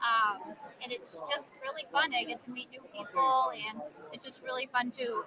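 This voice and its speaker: Soft-spoken and high-pitched, a woman talks over noticeable background noise. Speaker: social media creator, family owns a haunted house. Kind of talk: live interview at an expo. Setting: convention floor, live stream.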